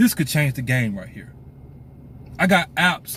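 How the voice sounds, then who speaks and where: In an American accent, the somewhat breathy voice moves at a fairly quick pace with very wide pitch swings. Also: man. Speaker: pastor. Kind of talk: casual monologue to camera. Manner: fast.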